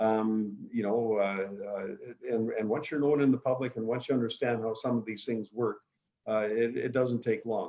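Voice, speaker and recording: Talking with a Canadian accent, a man uses a medium pitch, fairly even intonation and a moderate pace. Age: 60s. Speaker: politician. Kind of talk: interview. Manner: halting, many fillers.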